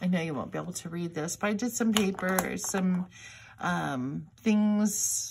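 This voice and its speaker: There is noticeable background noise behind a woman. She talks at a fairly slow pace with ordinary pitch variation. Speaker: crafting video host. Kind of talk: tutorial. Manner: mumbling; halting.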